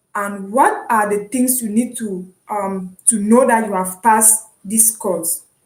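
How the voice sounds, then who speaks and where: At a very slow pace, a woman speaks with hardly any pauses in a fairly high, somewhat breathy voice. Her intonation stays fairly even. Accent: Cameroonian. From Cameroon (anglophone). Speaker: online university student, vlogger. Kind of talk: casual vlog, explaining. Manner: hesitant, with fillers and repetitions.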